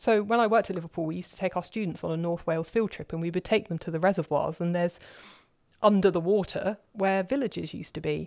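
In a very clean recording with a silent background, a woman with a southern English accent talks very fast at a fairly low pitch, with ordinary pitch variation. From London, southern England. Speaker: professor. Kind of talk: interview.

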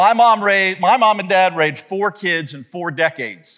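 The voice has a bright, sharp tone, ordinary pitch variation and a fairly slow pace. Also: man.

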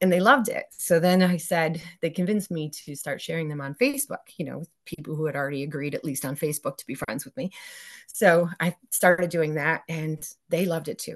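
A woman with an American accent talks at a fairly quick pace against a quiet background. She has an ordinary speaking voice, fairly low in pitch, with ordinary pitch variation. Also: big swings in loudness. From central New York. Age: 40s. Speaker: teacher and headstone cleaner. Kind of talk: casual interview chat.

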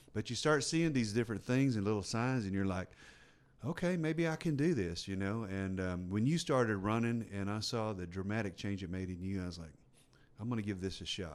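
Here a man with a Texan accent speaks at a fairly low pitch. His pace is fairly quick and his intonation lively. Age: 50s. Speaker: ultra runner and fitness enthusiast. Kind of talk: casual chat. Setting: studio.

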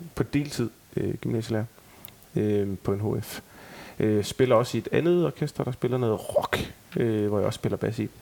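His pace is fairly slow. The man's pitch is medium. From Denmark, Aarhus. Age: 30s. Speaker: tribute band member. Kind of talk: casual chat.

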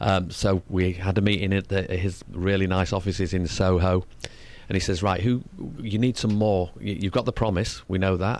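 A man with a Mancunian accent and a very deep, low pitch, very even loudness and fairly even intonation, in a very clean recording with a silent background. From northern England. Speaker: singer. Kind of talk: interview. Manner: fast talker.

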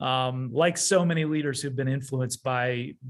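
A man talks at a fairly slow pace in a plain, everyday voice, with medium pitch and fairly even intonation. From Canada. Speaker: pastor. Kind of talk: casual chat.

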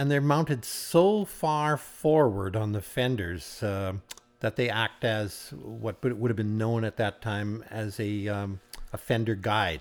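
Speaking at a fairly slow pace in a Canadian prairie accent, a man uses a fairly low pitch with ordinary pitch variation. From rural Saskatchewan, Canada. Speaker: retired farmer and car collector. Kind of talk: casual interview.

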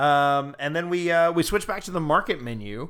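A man talks in a normal speaking voice at a fairly high pitch and a moderate pace. The recording is very clean, with a silent background. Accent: American. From US South, Georgia. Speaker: podcast co-host. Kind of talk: casual chat.

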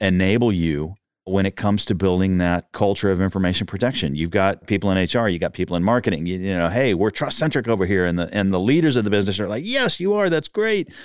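A man with a Texan accent talks at a very fast pace in a fairly low pitch. His pitch varies in an ordinary way, and the recording is very clean with a silent background. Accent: Texan Southern US. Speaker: podcast host. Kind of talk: interview conversation.

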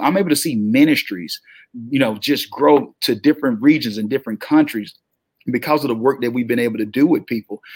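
Speaking with a Southern US accent, a man talks at a fairly quick pace in a medium pitch, with ordinary pitch variation and an animated tone. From US South. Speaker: motivational speaker and publishing entrepreneur. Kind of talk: interview.

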